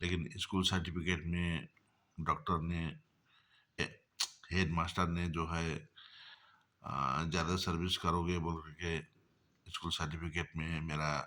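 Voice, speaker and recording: A man with a very deep, low pitch and a bright, sharp tone speaks in a monotone, flat delivery with long, frequent pauses. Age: 60s. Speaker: vlogger. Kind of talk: casual monologue. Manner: halting.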